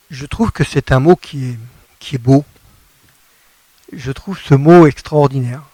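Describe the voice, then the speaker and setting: A man with a fairly high pitch speaks at a fairly slow pace in a somewhat breathy voice, leaving long, frequent pauses. His loudness swings a lot, and the sound is dry and close with no echo. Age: 60s. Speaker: gospel singer-songwriter. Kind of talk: radio interview.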